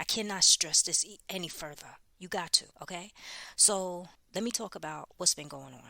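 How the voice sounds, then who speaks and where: A woman with a fairly low, bright, sharp voice and vocal fry talks at a moderate pace with big swings in loudness, in a very clean recording over a silent background. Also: ordinary pitch variation. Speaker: podcast host giving prophetic messages. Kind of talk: unedited prophetic message monologue. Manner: urgent, emphatic.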